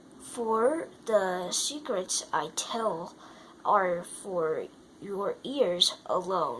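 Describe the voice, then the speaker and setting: Doing a put-on character voice, a woman sounds nasal at a medium pitch, speaking at a very slow pace with very wide pitch swings over clear background noise. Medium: read story. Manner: secretive.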